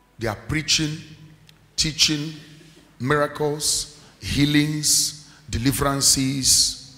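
A man talks at a fairly slow pace while faint music plays behind him. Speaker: preacher. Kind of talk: sermon. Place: church. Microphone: handheld.

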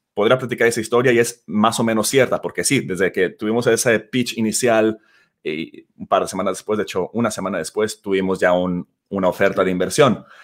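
With a normal speaking voice, a man talks at a fairly quick pace and fairly low pitch, using ordinary pitch variation over a quiet background. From Mexico, Guadalajara; Jalisco, Mexico. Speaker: startup CEO. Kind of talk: interview. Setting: video call.

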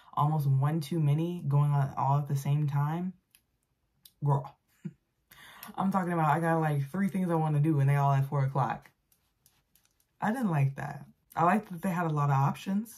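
Against a quiet background, a woman with a very deep, low pitch speaks at a moderate pace, somewhat breathy, with ordinary pitch variation and long, frequent pauses. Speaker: vlogger. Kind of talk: casual vlog chat. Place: home room. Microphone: phone near.

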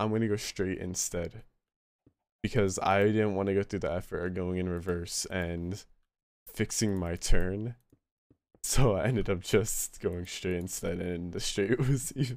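A man's fairly low voice, fairly slow in pace, with ordinary pitch variation. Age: young. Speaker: livestreamer. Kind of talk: casual chat. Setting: live stream with voice chat. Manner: animated. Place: home room.

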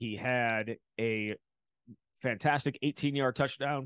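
A man of medium pitch speaks at a very slow pace with fairly even intonation, the sound dry with no echo over a quiet background. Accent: American. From Wisconsin. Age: 40s. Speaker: sports podcast host. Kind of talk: sports recap and interview. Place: home room. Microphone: studio mic.

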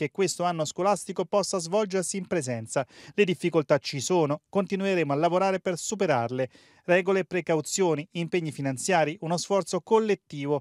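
Recorded very cleanly against a silent background, with a dry, close sound and no echo, a man speaks. His pitch is high, with ordinary variation, and his pace is fairly quick. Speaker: TV news reporter. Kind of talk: formal TV news report, scripted voiceover. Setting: TV news broadcast. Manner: formal, measured, brisk; clear, authoritative newsreader delivery.

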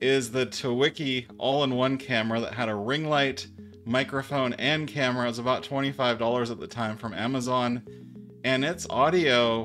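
Over faint music in the background, a man speaks at a moderate pace with fairly even intonation. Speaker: tech reviewer. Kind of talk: tutorial. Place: studio.

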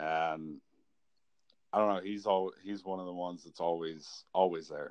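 Speaking in an American accent, a man uses a very deep, low pitch at a moderate pace. His intonation stays fairly even. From Kansas. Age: 30s. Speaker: artist. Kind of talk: casual chat. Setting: phone call.

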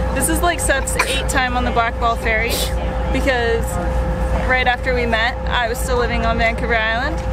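Over music in the background, a woman speaks at a moderate pace in a dry sound with no echo. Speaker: vlogger parent. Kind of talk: casual vlog chat. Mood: cheerful, joking. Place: boat. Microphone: phone near.

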